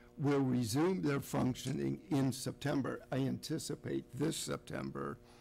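Faint background music behind a man speaking at a fairly slow pace. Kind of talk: formal meeting remarks. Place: hall. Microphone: podium.

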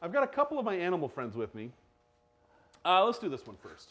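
A man at a high pitch with very wide pitch swings, big swings in loudness, a fairly quick pace and long, frequent pauses. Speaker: collector of curiosities; show host presenter. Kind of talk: live-streamed show and tell. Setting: studio, live video stream. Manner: animated. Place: stage.

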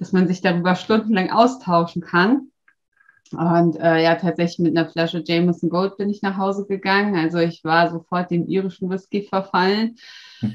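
Over a quiet background, a woman with fairly low pitch talks at a moderate pace with ordinary pitch variation. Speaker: interviewee. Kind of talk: interview answer. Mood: cheerful, amused. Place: office. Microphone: webcam.

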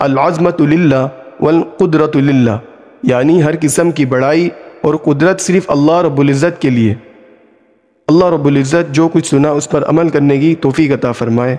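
This man has a fairly high pitch and an unremarkable speaking voice. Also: fairly even intonation, very even loudness. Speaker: voice artist. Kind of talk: Islamic story narration.

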